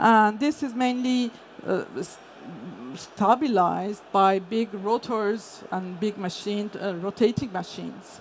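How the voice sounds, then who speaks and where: At a very slow pace, a woman with a non-native accent speaks at medium pitch with ordinary pitch variation. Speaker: energy industry consultant. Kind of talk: conference talk. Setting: stage with audience. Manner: hesitant, many fillers.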